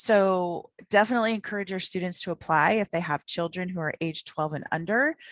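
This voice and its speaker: Recorded dry and close with no echo, a woman speaks fairly quickly at a medium pitch with ordinary pitch variation and hardly any pauses. The recording is very clean, with a silent background. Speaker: presenter on student financial aid. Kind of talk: conference presentation. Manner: fast.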